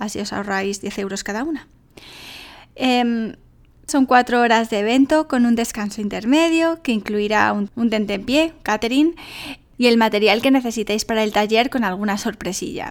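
A woman speaks at a moderate pace in a fairly high pitch, with an ordinary speaking voice. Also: ordinary pitch variation, very clean recording, silent background. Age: 30s. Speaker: life coach and podcast host. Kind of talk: solo podcast monologue. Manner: casual, chatty.

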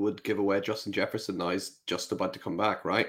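A man with a fairly low pitch talks at a very fast pace in a very clean recording with a silent background. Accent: Northern Irish. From Northern Ireland. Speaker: fantasy football podcast host. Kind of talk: casual chat.

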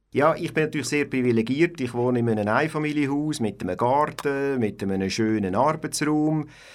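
At a moderate pace and with hardly any pauses, a man talks at a fairly high pitch with ordinary pitch variation. The recording is very clean and the background silent. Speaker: community radio co-founder and engineer. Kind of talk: interview. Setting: radio studio. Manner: halting.

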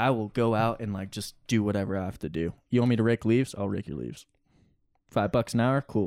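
An ordinary speaking voice from a man with an American accent, fairly low in pitch with ordinary pitch variation, at a fairly quick pace, on a very clean recording with a silent background and a dry, close sound with no echo. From New Jersey, Pine Barrens. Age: 20s. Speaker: rock climber. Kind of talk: casual interview.

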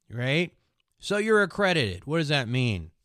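A man's fairly high voice with very wide pitch swings, on a very clean recording with a silent background. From US Midwest, Minnesota. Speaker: podcast host, investing. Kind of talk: casual chat and interview. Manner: slow talker.

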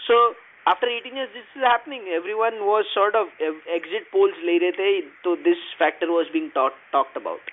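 A man speaks at a moderate pace in a high pitch with very wide pitch swings. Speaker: podcast co-host. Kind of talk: casual chat about news.

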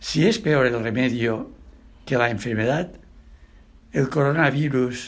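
This man talks at a fairly slow pace. His pitch variation is ordinary. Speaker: preacher. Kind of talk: sermon. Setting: church.

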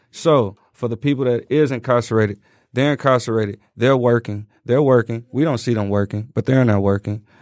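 The sound is dry and close with no echo, in a very clean recording with a silent background. Delivery is fairly quick, with fairly even intonation. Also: man, medium pitch for a man. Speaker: guest, works at a factory, in a group. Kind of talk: casual interview chat.

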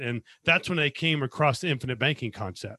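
A man talks in a bright, sharp tone with ordinary pitch variation. The recording is very clean, with a silent background. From Las Vegas, US West. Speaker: financial consultant, former accountant, army veteran. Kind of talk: casual interview.

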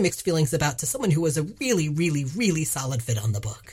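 A woman speaks at a very deep, low pitch in a somewhat breathy voice with very wide pitch swings. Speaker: podcast host. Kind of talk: casual banter podcast.

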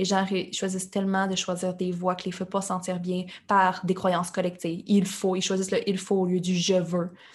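At a moderate pace, a woman of medium pitch speaks in a plain, everyday voice. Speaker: entrepreneur. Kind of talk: interview.

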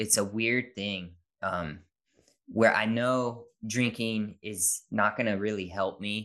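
The voice has a bright, sharp tone and moves at a very slow pace over a quiet background. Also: man. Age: 30s. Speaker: dad content creator and podcaster. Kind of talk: casual interview chat.

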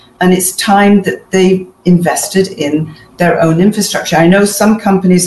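A woman at medium pitch, fairly even in intonation and moderate in pace, with noticeable background noise. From Manchester, northern England. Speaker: author and fashion business consultant. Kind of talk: interview.

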